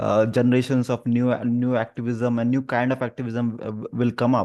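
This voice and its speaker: Against a quiet background, a man speaks at a fairly quick pace in a medium pitch with a dark, mellow tone and monotone, flat intonation. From India. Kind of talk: interview. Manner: stammering.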